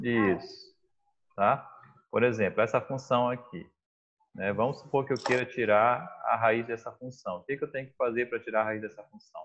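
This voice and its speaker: A man with a medium-pitched voice speaks at a moderate pace with fairly even intonation. He takes long, frequent pauses. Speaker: math teacher. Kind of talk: online class lesson. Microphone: unstable, freezing internet connection.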